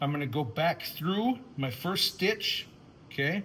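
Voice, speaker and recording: A man speaks loud and at a fairly slow pace, his fairly high pitch making very wide swings. His tone is bright and sharp. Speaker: woodworking and leather craft youtuber. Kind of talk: tutorial. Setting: workshop.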